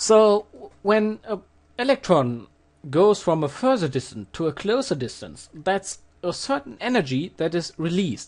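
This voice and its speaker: A fairly slow pace in a German accent. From Germany. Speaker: physics tutor. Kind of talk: tutorial. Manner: hesitant with fillers.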